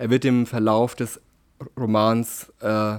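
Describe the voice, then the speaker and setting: On a very clean recording with a silent background, a man talks at a medium pitch in a monotone, flat intonation. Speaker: novelist. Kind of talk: interview.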